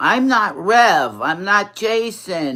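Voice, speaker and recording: A woman with an American accent, medium pitch and lively intonation. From New York. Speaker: drag performer livestreamer. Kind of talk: casual livestream chat.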